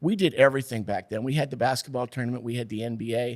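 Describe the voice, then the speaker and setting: A man with an American accent, medium pitch, an ordinary speaking voice and ordinary pitch variation, on a very clean recording with a silent background. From New York. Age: 60s. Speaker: TV sports director. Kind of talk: podcast interview. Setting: studio.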